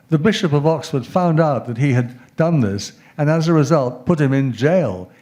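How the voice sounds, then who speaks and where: A man's fairly high-pitched voice with a dark, mellow tone, lively intonation, a British accent, and a moderate pace. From England. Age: 70s. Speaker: professor. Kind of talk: lecture. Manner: halting.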